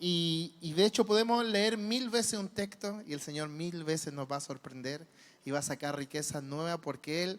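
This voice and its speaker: A man's fairly high pitch and lively intonation at a moderate pace, on a very clean recording with a silent background. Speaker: preacher. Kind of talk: sermon. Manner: animated.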